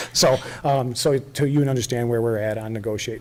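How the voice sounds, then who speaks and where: Very fast speech with ordinary pitch variation. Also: man. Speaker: event organizer presenting to town board. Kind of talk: public meeting presentation. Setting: town board meeting. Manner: hesitant, many fillers.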